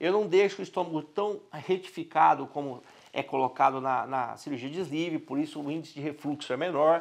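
A man's fairly high voice at a fairly quick pace, with ordinary pitch variation and a quiet background. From Brazil. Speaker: doctor. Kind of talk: medical explainer video. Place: office. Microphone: lapel.

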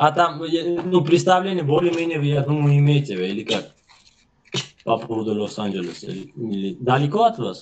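A moderate pace broken by long, frequent pauses, with very wide pitch swings and light background noise. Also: man, fairly high pitch for a man. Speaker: video chat stranger; interview guest. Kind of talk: casual chat. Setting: video call. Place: home room. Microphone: video call.

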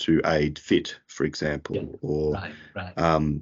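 A man's very deep, low voice with an Australian accent, at a fairly slow pace over a quiet background. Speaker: podiatrist; guest. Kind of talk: interview. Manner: halting. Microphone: video call.

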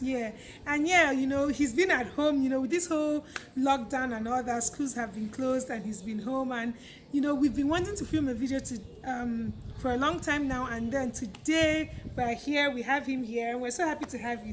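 A woman's high-pitched voice with ordinary pitch variation and light background noise. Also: moderate pace. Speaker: YouTuber host. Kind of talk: casual vlog chat. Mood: cheerful, laughing. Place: street. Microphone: phone near.

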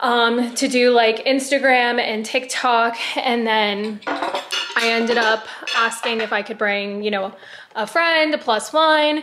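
A woman talks very slowly with ordinary pitch variation against noticeable background noise. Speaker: vlogger. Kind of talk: casual vlog chat. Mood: excited, upbeat. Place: home room. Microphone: phone near.

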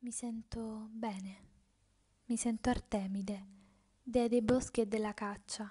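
Somewhat breathy, a woman with a fairly high pitch speaks slowly in an intense, dark, mellow tone with monotone, flat intonation. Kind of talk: dramatic first-person narration, theatrical monologue. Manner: intense, emotive, with pauses; declamatory, rhythmic, building.

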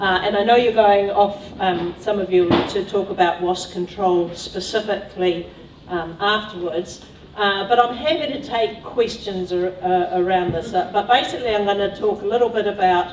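In a recording with audible room echo and light background noise, a woman speaks at a moderate pace. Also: ordinary pitch variation. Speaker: speaker. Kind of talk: lecture. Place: hall.

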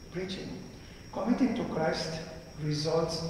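A man talks in a fairly high pitch. Strong echo fills the room, with light background noise. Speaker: priest. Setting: church. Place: church.

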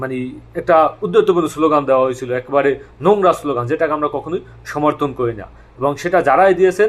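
A man talks in an ordinary speaking voice. His pitch is fairly high, with ordinary variation. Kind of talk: monologue commentary.

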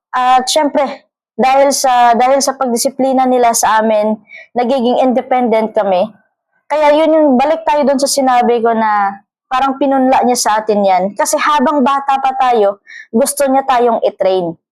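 A woman with a high pitch keeps her loudness very even, speaking at a moderate pace with ordinary pitch variation. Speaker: vlogger. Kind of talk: casual monologue vlog. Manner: halting, many fillers and repeats.

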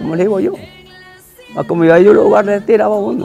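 With faint music behind him, a man speaks extremely quickly. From Santa Cruz, Guanacaste, Costa Rica. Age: 80s+. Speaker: cowboy (sabanero). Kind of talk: interview answer. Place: garden. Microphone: lapel.

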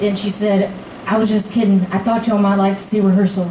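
A woman talks at a very fast pace, with audible room echo and light background noise around her. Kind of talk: stage banter storytelling. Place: stage.

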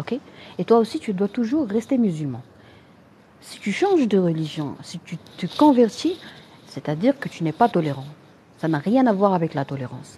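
A woman speaks in a Moroccan accent at medium pitch with very wide pitch swings. Her loudness swings a lot, and she pauses long and often. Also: moderate pace. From Morocco. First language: Arabic (speaking French). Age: 30s. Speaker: general practitioner and online health creator. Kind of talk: live-stream talk answering viewer comments.

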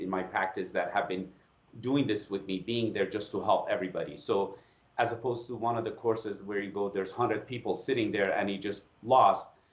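A man speaks in a flat monotone at a fairly low pitch, with audible echo from the room. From Iran. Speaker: facial plastic surgeon and anatomy educator; educator, podcast guest. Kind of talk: interview. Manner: halting, frequent repetitions. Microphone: video call.

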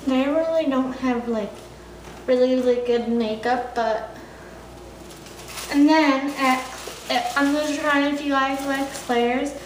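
Slow, fairly evenly intoned speech with audible room echo. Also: woman, high pitch for a woman.

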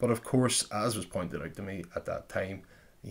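A man speaks at a fairly quick pace. His pitch is fairly low, with ordinary pitch variation. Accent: Northern Irish. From Derry, Northern Ireland. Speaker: podcast host. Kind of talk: casual chat; scripted narration. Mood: reflective, slightly apologetic. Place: home room. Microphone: studio mic.

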